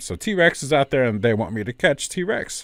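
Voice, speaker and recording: Lively intonation from a man with an American accent, a very clean recording and a silent background. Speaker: gaming podcast host. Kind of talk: casual chat.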